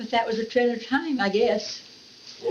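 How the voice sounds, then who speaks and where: A woman with an American accent at a fairly slow pace, against noticeable background noise. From Florida, US. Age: 80s+. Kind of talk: oral history interview answer.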